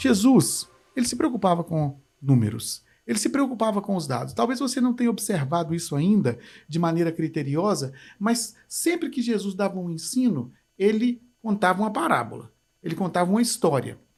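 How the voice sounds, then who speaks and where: A high-pitched man with a Minas Gerais accent and very wide pitch swings, on a very clean recording with a silent background. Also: moderate pace. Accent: mineiro Brazilian Portuguese. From Brazil, interior of Minas Gerais (Manhuaçu). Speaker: pastor. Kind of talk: leadership teaching talk.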